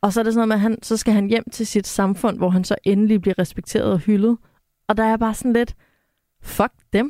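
Fairly quick speech with a dark, mellow tone and fairly even intonation is captured dry and close with no echo, in a very clean recording with a silent background. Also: woman, fairly high pitch for a woman. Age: 30s. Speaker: cultural analyst, podcast co-host. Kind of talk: casual chat.

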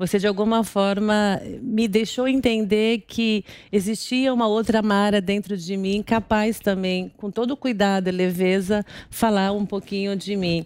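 On a very clean recording with a silent background, the speech moves at a fairly slow pace with fairly even intonation. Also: woman, medium pitch for a woman. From Brazil, Guarulhos (São Paulo). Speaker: business executive. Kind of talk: interview, personal life story. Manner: calm, serene.

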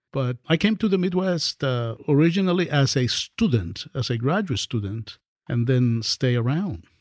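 On a very clean recording with a silent background, a man with a Spanish accent speaks at a moderate pace with lively intonation, the sound dry and close with no echo. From Dominican Republic. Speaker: professor. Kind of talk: interview conversation. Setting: studio.

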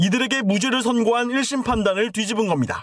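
Extremely high in pitch for a man, this male voice moves at a moderate pace with ordinary pitch variation. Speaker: news reporter. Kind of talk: news report.

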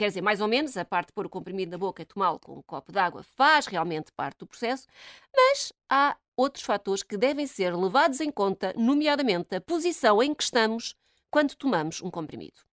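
Very wide pitch swings at a fairly quick pace, in a dry, close sound with no echo, on a very clean recording against a silent background. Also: woman, medium pitch for a woman. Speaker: radio commentator. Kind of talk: casual chat. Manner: animated.

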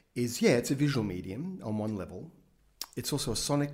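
In an Australian accent, a man talks at a fairly quick pace with ordinary pitch variation. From Australia, Brisbane. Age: 50s. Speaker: film director. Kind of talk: interview.

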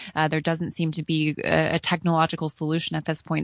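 The speaker has an American accent and talks at a very fast pace. The intonation is monotone and flat. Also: woman. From United States. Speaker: news correspondent. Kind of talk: radio news interview. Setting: remote link from Berlin.

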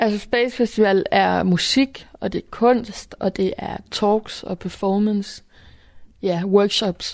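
A woman speaks at a very slow pace and medium pitch. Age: 20s. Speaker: youth event organiser. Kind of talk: interview.

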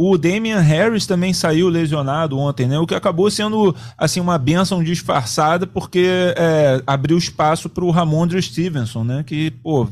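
A plain, everyday voice from a man, fairly high in pitch with lively intonation, at a fairly slow pace. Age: 40s. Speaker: sports producer and co-host. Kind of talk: casual chat.

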